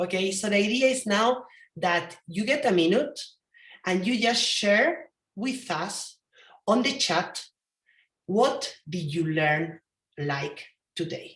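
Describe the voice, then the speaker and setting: Very slowly, with long, frequent pauses, a woman with a strong Spanish accent speaks in very wide pitch swings. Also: medium pitch for a woman. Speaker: event co-host. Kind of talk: online event closing address.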